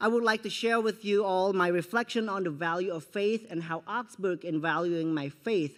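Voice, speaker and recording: On a very clean recording with a silent background, a man with a non-native accent speaks at a moderate pace with ordinary pitch variation. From Cambodia. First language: Khmer. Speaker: student speaker. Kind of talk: commencement speech. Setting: graduation ceremony with audience. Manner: formal.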